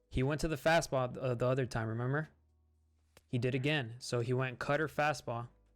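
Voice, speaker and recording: Music sits in the background as a man at medium pitch speaks at a fairly quick pace, with very even loudness and fairly even intonation. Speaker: gaming youtuber. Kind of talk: live gameplay commentary. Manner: fast; stuttering at times.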